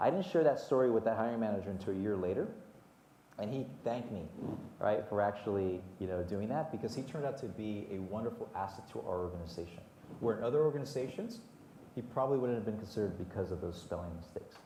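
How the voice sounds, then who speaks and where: A man with a Spanish accent talks at a very fast pace and a medium pitch, with audible room echo and noticeable background noise. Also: lively intonation. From Southern California, Whittier, Mexican-American family. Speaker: HR executive at sports team. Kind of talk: panel interview. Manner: hesitant, many repetitions and fillers.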